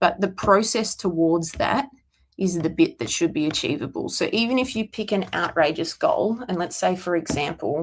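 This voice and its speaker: A woman talks at a moderate pace with a fairly low pitch. Her intonation is lively. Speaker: CrossFit coach answering viewer questions. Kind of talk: casual livestream Q&A monologue. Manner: rambling, self-described mumbling.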